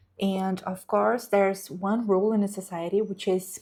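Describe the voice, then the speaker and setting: A woman speaks with a Brazilian Portuguese accent at a fairly slow pace. Her intonation is monotone and flat. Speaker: book content creator. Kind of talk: book review vlog. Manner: hesitant, with fillers.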